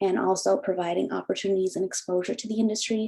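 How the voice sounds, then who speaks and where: Amid noticeable background noise, a woman talks at a very fast pace in a medium-pitched voice with ordinary pitch variation. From Cape Breton Island, Nova Scotia. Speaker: beekeeper and farm owner. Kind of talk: panel discussion.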